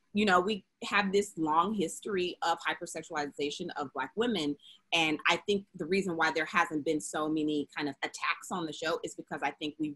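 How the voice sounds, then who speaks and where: A woman's fairly low voice with an American accent, moderate pace, dry, close sound with no echo. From Memphis, Tennessee (US South). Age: 30s. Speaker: TV show creator and writer. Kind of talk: panel interview. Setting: video call.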